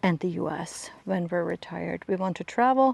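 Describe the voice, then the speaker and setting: A woman's medium-pitched voice at a fairly slow pace, with ordinary pitch variation and a dry, close sound with no echo. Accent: German. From Germany. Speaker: lifestyle vlogger. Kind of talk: casual vlog monologue. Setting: outdoors on a walk with dog. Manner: hesitant, many fillers and repeats.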